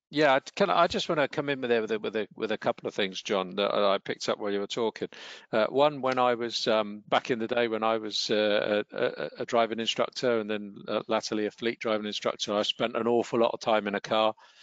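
A fairly quick pace with hardly any pauses and fairly even intonation, in a dry sound with no echo against a quiet background. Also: man. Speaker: wellbeing trainer. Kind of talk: online training webinar. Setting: online webinar. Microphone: headset.

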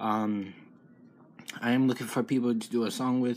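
At a fairly quick pace, a man speaks in a monotone, flat intonation. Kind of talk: casual vlog chat. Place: home room. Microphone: phone near.

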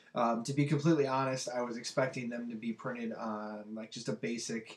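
A man talks at a medium pitch with little pitch movement.

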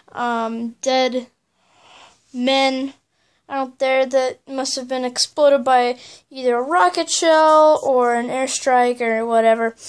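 A woman with a high-pitched voice speaks very slowly. Behind her, the background stays quiet. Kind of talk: casual show-and-tell narration. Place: home room. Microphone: phone near.

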